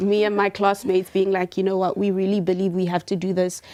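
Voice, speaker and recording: A woman talks at a medium pitch. Her tone is dark and mellow. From rural South Africa. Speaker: environmental scientist and chemist. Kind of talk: panel discussion.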